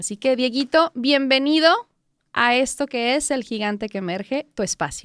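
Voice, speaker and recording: At a moderate pace and in an animated tone, a high-pitched woman speaks on a very clean recording with a silent background. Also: ordinary pitch variation, dry, close sound with no echo. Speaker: podcast host. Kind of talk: podcast interview.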